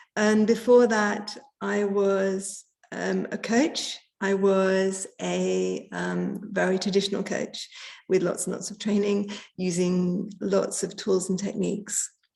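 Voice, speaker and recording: Speaking very slowly with an English accent, a woman holds a medium pitch in a flat, monotone delivery. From England. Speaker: coach. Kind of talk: casual chat. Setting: video call. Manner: hesitant with many fillers.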